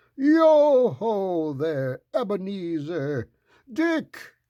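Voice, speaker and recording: A man puts on a character voice, pitched high. He talks at a very slow pace with very wide pitch swings. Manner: happy, jovial.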